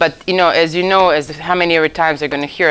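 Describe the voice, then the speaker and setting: A woman talking at a very fast clip over noticeable background noise. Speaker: lecturer in ocean optics. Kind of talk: lecture.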